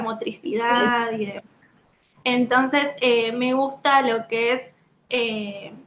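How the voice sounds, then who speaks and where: A woman speaks very slowly at a fairly high pitch in a monotone, flat delivery. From Lanús, Buenos Aires, Argentina. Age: 20s. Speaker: dancer, actress and occupational therapist. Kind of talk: interview answer.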